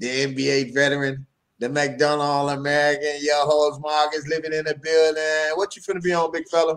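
A man at a moderate pace, his pitch fairly high. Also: quiet background. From Chicago. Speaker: podcast co-host; show host. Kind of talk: casual chat. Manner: animated. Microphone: studio mic.

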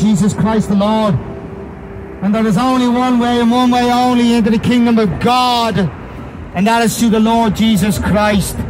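A man with an Irish accent speaks at a moderate pace in a high pitch. His intonation is fairly even, and there is noticeable background noise. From Ireland. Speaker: street preacher. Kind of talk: street preaching sermon. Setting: outdoors. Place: street. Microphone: handheld.

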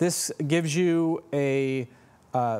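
Ordinary pitch variation from a man. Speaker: presenter. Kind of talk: product walkthrough. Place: shop. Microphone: lapel.

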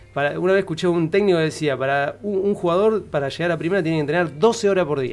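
Over faint music in the background, a man talks at a very fast pace with hardly any pauses, a high pitch and ordinary pitch variation. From Argentina, San Nicolás (Buenos Aires province); Buenos Aires province, Argentina. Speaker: actor. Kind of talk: casual chat. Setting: studio. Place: studio. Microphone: studio mic.

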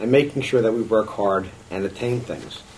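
A man with an American accent at a fairly quick pace, ordinary pitch variation, noticeable background noise. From New York. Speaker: political candidate and business owner; candidate. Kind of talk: campaign interview. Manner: halting, many fillers. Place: meeting room. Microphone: camera far.

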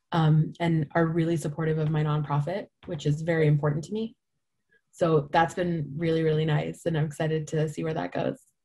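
A woman speaks at a fairly quick pace with a very deep, low pitch and monotone, flat intonation. Her tone is dark, mellow and somewhat breathy over a quiet background. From India. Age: 20s. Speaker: nonprofit founder; guest. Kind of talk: talk to a business audience with Q&A. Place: home room. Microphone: video call.

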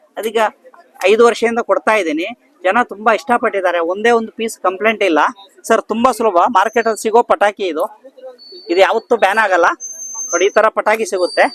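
A man speaks with a high pitch and fairly even intonation. The sound is dry and close, without echo. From Puttur, Dakshina Kannada, India. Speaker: farmer and product seller. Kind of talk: sales pitch.

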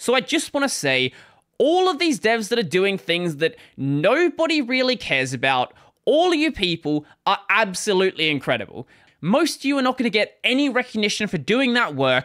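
A man at a moderate pace, with very wide pitch swings, a bright, sharp tone and a quiet background. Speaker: tech channel host. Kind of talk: commentary. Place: home room. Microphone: studio mic.

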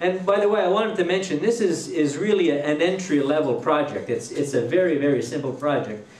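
A man speaks at a very fast pace with hardly any pauses, his voice fairly high-pitched with lively intonation. Audible echo fills the room. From Quebec, Trois-Rivières. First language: French. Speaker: woodturner giving a demo. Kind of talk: live demonstration to a club audience. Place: hall. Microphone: headset.

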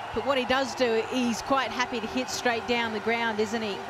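A woman speaks at a fairly quick pace in an enthusiastic tone, with noticeable background noise. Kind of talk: cricket commentary with analysis. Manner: conversational, chatty, enthusiastic.

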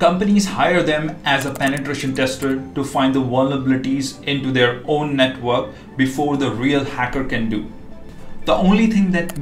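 Delivered at a moderate pace with ordinary pitch variation, the voice carries audible room echo over faint background music. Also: man. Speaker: cybersecurity educator. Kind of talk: tutorial. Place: home room.

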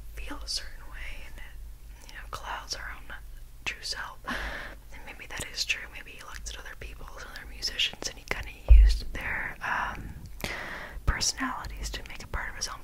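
A soft-spoken woman whispers at a moderate pace, her loudness swinging widely over noticeable background noise. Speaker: video creator. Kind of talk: casual soft-spoken commentary on quotes. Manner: soft close-mic ASMR whisper. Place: home room. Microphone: studio mic.

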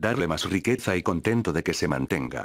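A man with a Spanish accent talks at a fairly quick pace. The recording is very clean, with a silent background and a dry, close sound with no echo. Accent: Spanish (Spain). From Spain. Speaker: actor. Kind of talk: interview answer.

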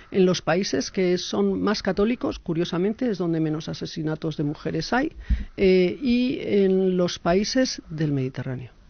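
Talking at a fairly slow pace, a woman with a fairly low pitch uses very wide pitch swings. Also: dry sound with no echo. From Basque Country. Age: 50s. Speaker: association president; speaker. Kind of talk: interview. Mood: earnest, critical. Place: meeting room. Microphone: podium.

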